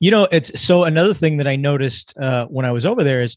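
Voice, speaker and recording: With a normal speaking voice, a man talks at a fairly quick pace and fairly high pitch with lively intonation, the sound dry and close with no echo. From California. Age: 50s. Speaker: emergency physician and author. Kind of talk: casual chat.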